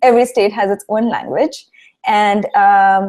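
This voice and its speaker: A woman speaks in a dark, mellow tone with a Marathi accent. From India, Mumbai (Maharashtra). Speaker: industrial designer and founder. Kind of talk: interview. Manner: hesitant with fillers and repetitions.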